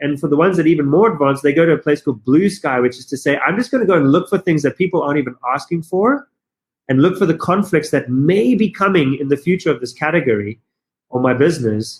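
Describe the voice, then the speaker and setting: A man with a South African accent, fairly high in pitch, very fast, with lively intonation. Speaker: business consultant and company founder. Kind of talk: podcast interview. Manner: fast, halting with repetitions.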